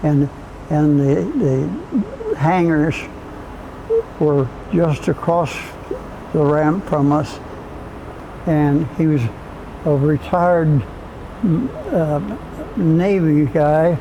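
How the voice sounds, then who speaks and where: Noticeable background noise runs under a man's fairly high voice in an American accent. He speaks very slowly, with long, frequent pauses. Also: ordinary pitch variation, very even loudness. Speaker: Cold War Air Force veteran, former jet mechanic. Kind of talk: oral history interview answer, recounting a memory. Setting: recorded interview.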